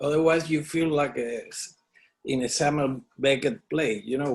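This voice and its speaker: A man talks at a moderate pace with a fairly high pitch. His intonation stays fairly even. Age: 60s. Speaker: artist. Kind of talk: oral history interview. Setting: at home studio. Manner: halting, many fillers.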